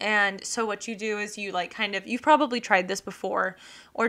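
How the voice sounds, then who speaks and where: A woman speaks at a medium pitch. Her intonation is fairly even. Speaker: podcast host and illustrator. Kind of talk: casual solo podcast monologue. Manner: fast; rambling, filler-heavy.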